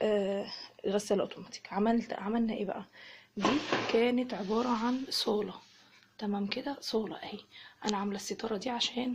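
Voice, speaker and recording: Over noticeable background noise, a woman with an Egyptian accent speaks at a moderate pace and fairly high pitch, with fairly even intonation and long, frequent pauses. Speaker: home vlogger, mother. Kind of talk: casual home tour vlog. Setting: at home. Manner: soft-spoken.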